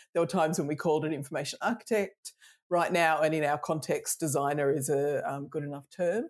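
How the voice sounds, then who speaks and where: A woman talks with an Australian accent. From Melbourne, Australia. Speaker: design consultant and author. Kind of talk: casual interview chat. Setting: video call. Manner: relaxed, humorous.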